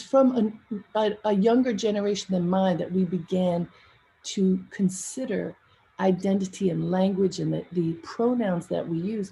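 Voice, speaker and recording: A woman with an American accent speaks at a moderate pace in a somewhat breathy voice. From US, Baltimore. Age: 60s. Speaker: event emcee. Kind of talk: casual personal storytelling. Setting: virtual livestream event.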